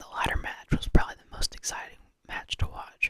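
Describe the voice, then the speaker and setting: Whispering, the speaker goes along at a moderate pace. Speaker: ASMR creator. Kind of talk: ASMR ramble about wrestling. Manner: whispered.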